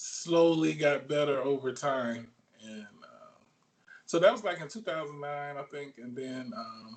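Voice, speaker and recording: A Southern US accent at a fairly slow pace, with ordinary pitch variation and big swings in loudness. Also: man, fairly high pitch for a man. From Alabama. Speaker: sports photographer. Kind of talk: interview. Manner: halting, many fillers.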